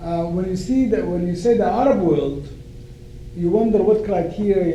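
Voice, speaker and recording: Amid noticeable background noise and audible room echo, a man with a Sudanese accent speaks at a moderate pace and a high pitch, with ordinary pitch variation. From Sudan (northern). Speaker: law professor. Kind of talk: lecture. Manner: hesitant with fillers.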